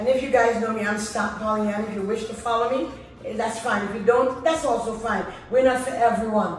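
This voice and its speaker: A woman's fairly high voice at a fairly quick pace, fairly even in intonation, with audible room echo and noticeable background noise. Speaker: YouTuber. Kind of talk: casual chat. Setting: group sitting at home in pajamas. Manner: loud.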